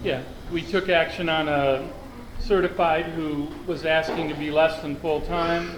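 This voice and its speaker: With a Midwestern American accent, a man speaks fairly slowly at a fairly high pitch in monotone, flat intonation. Audible room echo and noticeable background noise are present. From Cleveland, Ohio, US. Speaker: school district administrator. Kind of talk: public meeting report.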